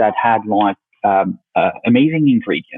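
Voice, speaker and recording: In a French accent, this speaker talks. He is a man. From France, Paris. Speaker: company founder. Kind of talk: podcast interview. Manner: halting, many fillers.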